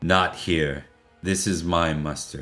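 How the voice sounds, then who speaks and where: A put-on character voice from a man, very deep and low in pitch, raspy and gruff, with fairly even intonation and faint music in the background. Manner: gruff, grunting.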